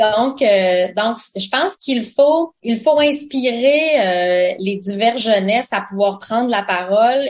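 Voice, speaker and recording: A woman speaks in a fairly high voice. Her pitch varies in an ordinary way. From Quebec, Abenaki nation. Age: 40s. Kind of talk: radio interview. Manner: hesitant, many fillers.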